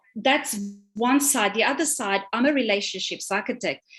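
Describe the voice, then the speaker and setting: A woman's high voice with a Romanian accent and lively intonation. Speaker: relationship coach. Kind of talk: live stream panel discussion.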